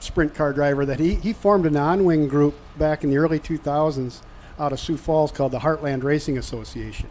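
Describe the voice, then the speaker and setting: Fairly quick and fairly high-pitched, a man speaks with a slight Minnesota accent and fairly even intonation. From southern Minnesota. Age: 60s. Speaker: race announcer. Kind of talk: radio interview.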